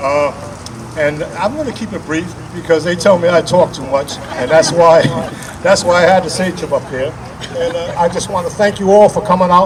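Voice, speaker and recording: With crowd noise in the background, a man speaks at a moderate pace in a high voice with ordinary pitch variation. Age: 80s+. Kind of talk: public speech.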